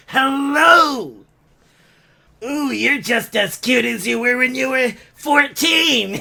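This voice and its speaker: A put-on character voice speaks at a very slow pace. Long, frequent pauses break up the speech. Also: man, extremely high pitch for a man. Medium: comedy sketch. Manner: giggly, catty, rambling.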